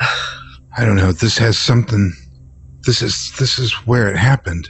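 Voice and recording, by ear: A man puts on a character voice with a fairly low pitch and a husky, rough edge. His tone is fairly bright, his pitch variation ordinary, and his pace fairly slow.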